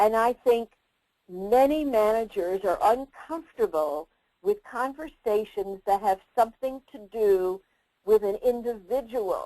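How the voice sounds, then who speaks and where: With a New Jersey accent, a woman speaks fairly slowly at a fairly high pitch, her pitch moving in an ordinary way and her loudness swinging widely in a dry, close recording with no echo. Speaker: career development expert and presenter. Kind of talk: webinar presentation. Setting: online webinar.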